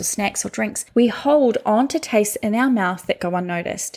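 With a normal speaking voice, a woman speaks fairly slowly at a fairly high pitch with lively intonation. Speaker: meditation guide. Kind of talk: guided meditation. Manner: slow, calm, soothing, with long pauses between prompts.

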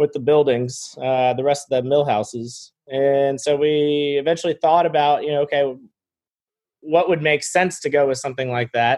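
A man with an American accent and a plain, everyday voice, fairly high in pitch, with fairly even intonation at a moderate pace. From Florida. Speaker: property owner and consultant. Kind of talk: interview.

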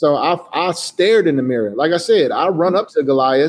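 A man with an ordinary speaking voice and an American accent talks at a fairly high pitch with ordinary pitch variation. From Chicago, US. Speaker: designer and entrepreneur. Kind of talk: interview.

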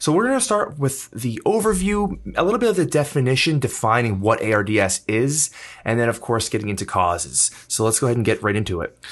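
An upbeat man talks at a very fast pace with hardly any pauses. His pitch swings very widely. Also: medium pitch for a man, quiet background. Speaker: podcast host. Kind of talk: casual chat.

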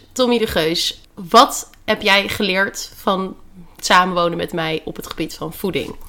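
A woman speaks at a medium pitch and a fairly slow pace, with ordinary pitch variation. Her tone is bright and sharp, and her loudness swings widely. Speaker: dietitian and podcast host. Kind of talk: casual chat. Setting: at home in quarantine.

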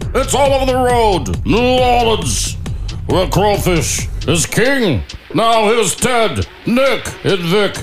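A put-on character voice speaks at a fairly high pitch and a fairly slow pace. Clear music plays in the background. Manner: upbeat announcer delivery.

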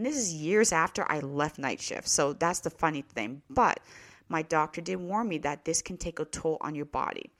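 Delivered at a moderate pace with lively intonation, the speech sits on a very clean recording with a silent background. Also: woman, very deep, low pitch for a woman. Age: 40s. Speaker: podcast host and nurse. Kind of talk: casual monologue.

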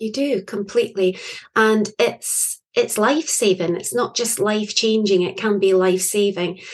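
This woman speaks with a Scottish accent at a fairly high pitch. Her pitch variation is ordinary. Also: moderate pace. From Scotland. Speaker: poet and author. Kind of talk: interview conversation.

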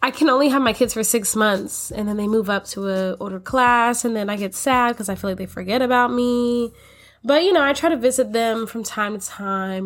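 An ordinary speaking voice, a woman with an American accent, fairly high-pitched with lively intonation at a moderate pace. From US Florida. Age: 20s. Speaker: podcast host, college student and daycare teacher. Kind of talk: casual podcast intro. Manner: upbeat, chatty.

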